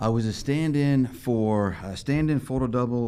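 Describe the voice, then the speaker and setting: Here a man speaks very slowly in an American accent. His tone is dark and mellow. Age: 40s. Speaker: stand-in and stunt double. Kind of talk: interview.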